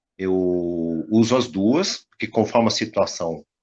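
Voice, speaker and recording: A man against a quiet background. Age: 60s. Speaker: tai chi teacher. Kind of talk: casual chat.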